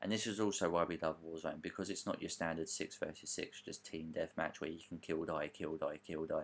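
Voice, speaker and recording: A man with a British accent at a very fast pace. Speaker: author and gaming podcaster. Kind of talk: casual voiceover commentary over gameplay. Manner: casual, hesitant with fillers.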